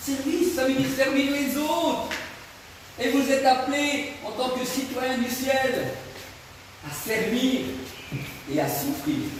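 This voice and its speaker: At an extremely high pitch and a very slow pace, a man speaks in a monotone, flat delivery with long, frequent pauses, amid audible room echo and noticeable background noise. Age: 60s. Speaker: evangelist preacher and singer. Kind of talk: teaching sermon. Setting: discipleship school class in Côte d'Ivoire. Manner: hesitant, repeats words.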